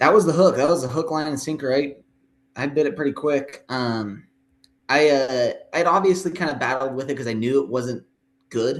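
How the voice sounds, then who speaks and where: Here is a man with an American accent. His pitch is fairly high and varies in an ordinary way. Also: moderate pace. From US, southeastern Idaho (Pocatello). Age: 20s. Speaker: youth church leader. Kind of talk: testimony. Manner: halting, many fillers.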